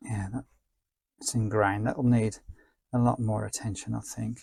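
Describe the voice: Speaking at a fairly slow pace, a man shows vocal fry, a slightly husky edge, a slightly mellow tone and little pitch movement. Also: fairly low pitch for a man.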